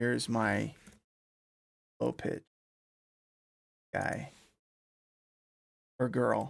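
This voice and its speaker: A soft-spoken man talks at a very slow pace, leaving long, frequent pauses. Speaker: electronic music producer. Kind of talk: live production stream tutorial. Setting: home studio live stream. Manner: soft-spoken while working; casual.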